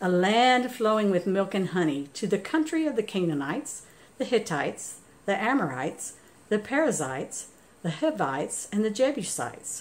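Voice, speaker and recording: With very wide pitch swings, a woman speaks at a moderate pace. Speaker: church scripture reader. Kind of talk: scripture reading. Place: home room. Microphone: phone near.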